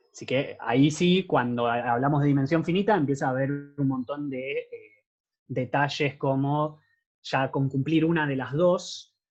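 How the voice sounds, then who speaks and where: A man's fairly high-pitched voice with fairly even intonation. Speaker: math teaching assistant. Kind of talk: lecture. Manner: fast.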